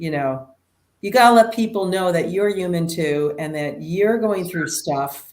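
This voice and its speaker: A woman's fairly low voice at a fairly slow pace, with ordinary pitch variation. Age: 60s. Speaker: nurse practitioner. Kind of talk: interview. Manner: animated.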